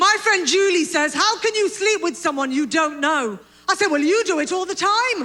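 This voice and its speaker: Projecting a raised voice at an extremely high pitch, a woman speaks at a moderate pace with lively intonation. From Britain. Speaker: stand-up comedian. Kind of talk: stand-up comedy set to an audience.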